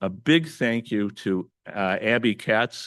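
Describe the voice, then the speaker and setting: A man with a Midwestern American accent, dry and close with no echo, over a quiet background. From northern Indiana (East Chicago). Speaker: event organizer. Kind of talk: public speech. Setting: auditorium with audience. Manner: halting.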